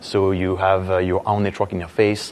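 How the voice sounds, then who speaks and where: Speaking fairly quickly with a strong French accent, a man with a very deep, low voice keeps a monotone, flat intonation. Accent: French, thick. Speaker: software engineer, conference speaker. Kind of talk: conference talk. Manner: hesitant, many fillers.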